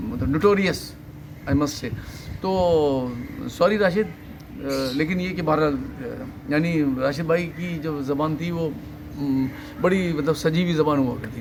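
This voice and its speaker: A man's fairly high voice with ordinary pitch variation and long, frequent pauses, amid audible room echo and noticeable background noise. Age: 60s. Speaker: interview guest. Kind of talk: interview. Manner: talkative; halting.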